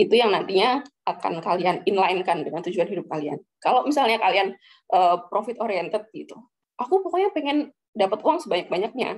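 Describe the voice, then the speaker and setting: The pace is fairly quick. Pitch swings very widely throughout. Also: woman, medium pitch for a woman. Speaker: central bank employee sharing recruitment tips. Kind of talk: casual talk to students. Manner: casual with many fillers.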